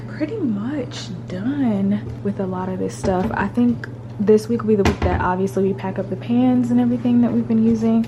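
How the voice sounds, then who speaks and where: A woman whispers at a moderate pace. Audible room echo and noticeable background noise surround her. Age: 20s. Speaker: lifestyle vlogger. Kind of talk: casual vlog talk. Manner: casual; whispering.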